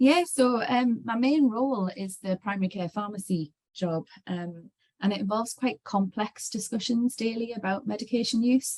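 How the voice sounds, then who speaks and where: With a fairly high pitch and ordinary pitch variation, a woman speaks at a moderate pace in a somewhat breathy voice, the sound dry and close with no echo. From northeast England. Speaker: clinical pharmacist. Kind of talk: webinar conversation. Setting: online webinar. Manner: hesitant, many fillers.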